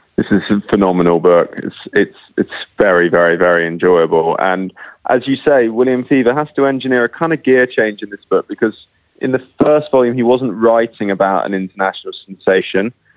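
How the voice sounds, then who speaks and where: Speaking fairly quickly with a British accent, a man uses lively intonation at a medium pitch. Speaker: literary critic and prize judge. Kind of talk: book discussion. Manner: halting.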